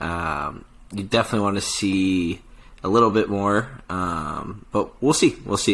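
This man has a very deep, low pitch and an American accent. His intonation is fairly even. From Chicago. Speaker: podcast host. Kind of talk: casual sports podcast chat. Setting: studio.

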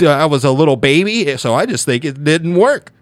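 A man talks with an ordinary speaking voice. His pitch is fairly high, and his intonation lively. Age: 30s. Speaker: podcast co-host. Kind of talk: casual chat.

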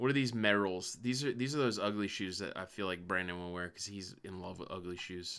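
Fairly quick and animated, a man with a fairly low pitch and ordinary pitch variation speaks with hardly any pauses. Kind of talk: casual chat.

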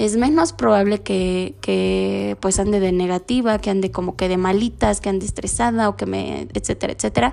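At a moderate pace, a woman talks with hardly any pauses. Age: 20s. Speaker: spiritual podcaster. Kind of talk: casual monologue.

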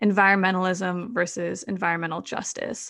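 This woman speaks in a normal speaking voice with an American accent, at medium pitch. Her intonation is fairly even, and the recording is very clean with a silent background. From US Midwest, Madison, Wisconsin. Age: 20s. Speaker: climate activist. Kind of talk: interview.

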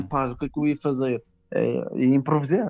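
This man talks at a very fast pace in a fairly high pitch, with a Madeiran accent. The sound is dry and close, with no echo. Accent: Madeiran Portuguese, noticeable. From Madeira, Portugal. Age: 20s. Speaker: stand-up comedian. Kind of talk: casual chat.

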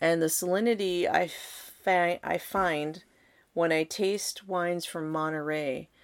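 With a fairly low pitch and fairly even intonation, a woman speaks at a very slow pace in a very clean recording with a silent background. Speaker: wine podcast co-host. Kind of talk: casual chat. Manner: articulate, informative.

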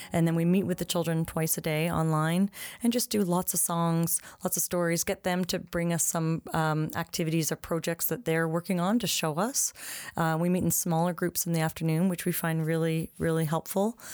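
In a normal speaking voice with a Canadian accent, a woman talks at a fairly low pitch and moderate pace, with fairly even intonation and very even loudness, recorded dry and close with no echo against a silent, very clean background. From Ottawa, Canada. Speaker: preschool director and teacher. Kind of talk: casual interview.

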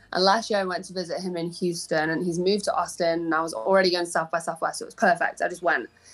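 On a very clean recording with a silent background, a woman speaks in a Manchester accent at a very fast pace with hardly any pauses, her fairly low pitch held to fairly even intonation. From Manchester, England. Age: young. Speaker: pop singer-songwriter. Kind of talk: casual interview.

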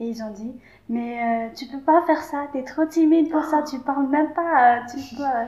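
A high-pitched woman's voice with big swings in loudness and fairly even intonation. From Madagascar. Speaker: youth exchange participant. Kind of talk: casual interview. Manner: halting.

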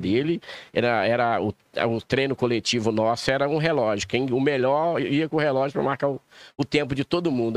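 A man talks at a fairly quick pace with lively intonation and medium pitch over a quiet background. He has a normal speaking voice. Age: 50s. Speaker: race promoter and businessman. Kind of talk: casual chat.

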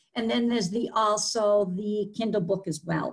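Speaking at a fairly slow pace, a woman talks with a Boston accent. Her pitch is fairly high, with ordinary variation. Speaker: podcast guest, author. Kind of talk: conversational, warm.

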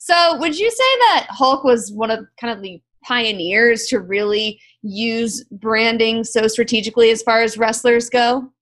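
A woman's fairly slow, fairly high-pitched delivery in a normal speaking voice, with ordinary pitch variation. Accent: American. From South Florida. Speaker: podcast host. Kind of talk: casual interview chat.

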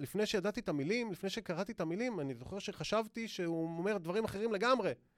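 The background is silent and the recording very clean. The speaker is a man. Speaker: author, former lawyer. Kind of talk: casual interview.

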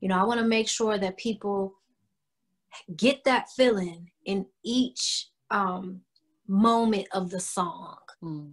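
A woman's somewhat breathy, medium-pitched voice with an American accent, at a very slow pace with ordinary pitch variation and long, frequent pauses. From Cleveland, Ohio, US Midwest. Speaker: R&B singer-songwriter. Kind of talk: casual interview chat. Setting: video call.

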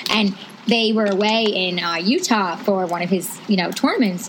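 A woman at a fairly quick pace, medium in pitch, with fairly even intonation and noticeable background noise. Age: 30s. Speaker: podcast co-host. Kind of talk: casual chat. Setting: outdoors.

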